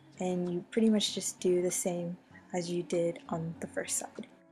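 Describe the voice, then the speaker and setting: Music plays in the background as a woman speaks at a medium pitch and a fairly slow pace. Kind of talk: craft tutorial narration. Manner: casual, upbeat.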